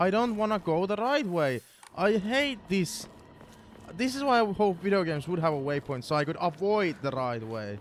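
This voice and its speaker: A man speaks with a non-native accent in a high voice. His pitch swings very widely. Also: moderate pace. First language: not English. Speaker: gaming streamer. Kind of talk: live gameplay commentary. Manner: animated.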